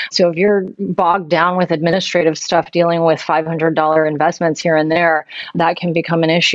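A woman's fairly low, flat monotone at a fairly quick pace. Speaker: podcast co-host. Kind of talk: casual chat.

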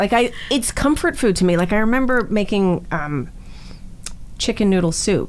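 A woman's plain, everyday voice with a Canadian accent, medium in pitch with lively intonation, very even loudness and a moderate pace. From Toronto, Canada. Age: 40s. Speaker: actress. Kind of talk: casual chat.

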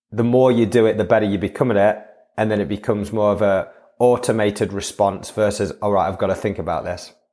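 The speaker keeps a fairly even intonation and a moderate pace. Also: man. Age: 40s. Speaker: breathwork instructor. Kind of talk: casual interview chat.

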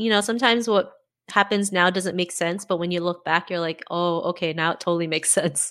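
Bright and sharp in tone, a woman talks at a very fast pace in a very clean recording with a silent background. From Canada. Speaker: podcaster and confidence coach. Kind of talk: interview.

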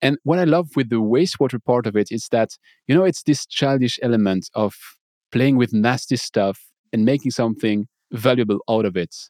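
Recorded with a dry, close sound and no echo, a man with a French accent speaks at a moderate pace, at a medium pitch with ordinary pitch variation. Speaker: podcaster and water treatment professional. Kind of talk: casual interview.

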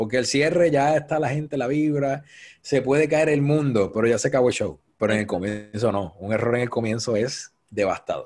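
A man's voice of medium pitch with ordinary pitch variation. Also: moderate pace. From Puerto Rico, Cabo Rojo. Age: 30s. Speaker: event producer. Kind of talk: interview.

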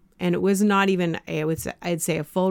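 A woman with a Canadian accent and a normal speaking voice talks at a moderate pace, fairly low in pitch with fairly even intonation, in a very clean recording with a silent background. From Canada. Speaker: life coach and podcast host. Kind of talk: casual interview.

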